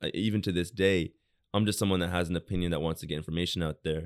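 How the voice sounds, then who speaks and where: A man's very deep, low voice with a New York accent. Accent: New York American. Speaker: designer. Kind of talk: casual chat.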